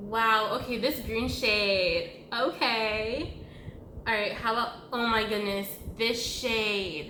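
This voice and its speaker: Audible room echo and noticeable background noise around a very slow delivery. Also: woman, fairly high pitch for a woman, fairly even intonation. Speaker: makeup youtuber. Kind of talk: product review. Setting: at home.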